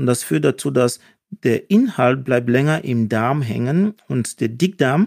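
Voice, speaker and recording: Recorded very cleanly against a silent background, the sound dry and close with no echo, a man of medium pitch speaks at a fairly slow pace. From Cameroon. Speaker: surgeon and proctologist. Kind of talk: casual interview, telling anecdotes. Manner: hesitant with fillers.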